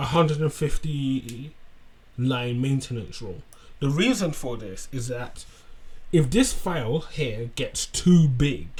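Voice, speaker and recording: A man with a fairly high pitch speaks at a very slow pace. His voice is somewhat breathy. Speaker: tech tutorial creator. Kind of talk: screen-share tutorial. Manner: halting, self-correcting.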